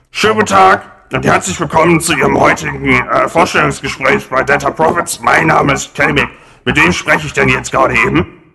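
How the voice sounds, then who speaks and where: A man performs a put-on character voice. He goes at a fairly quick pace. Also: fairly high pitch for a man. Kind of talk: comic overacting. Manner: bumbling, hesitant, stammering.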